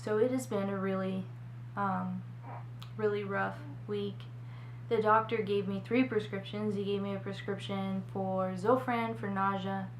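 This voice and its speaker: A woman speaks at a very deep, low pitch with very wide pitch swings, at a fairly slow pace with long, frequent pauses. Audible room echo and noticeable background noise surround her. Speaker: vlogger, mother. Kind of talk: personal vlog.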